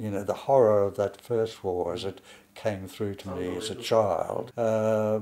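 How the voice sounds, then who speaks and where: A man's fairly low, dark, mellow voice with an Australian accent and fairly even intonation. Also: fairly slow pace. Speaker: painter. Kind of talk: interview. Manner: halting.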